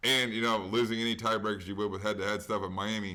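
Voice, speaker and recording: A man talks in a bright, sharp tone, and audible room echo hangs on his words. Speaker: sports betting podcast host. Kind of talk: casual sports chat. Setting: at home. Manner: fast.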